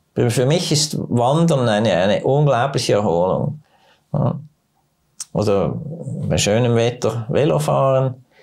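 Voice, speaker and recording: A man's vocal fry at medium pitch, very slow and full of long, frequent pauses, with lively intonation, very even loudness and a quiet background. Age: 70s. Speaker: doctor. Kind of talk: casual interview. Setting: studio. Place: studio. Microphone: lapel.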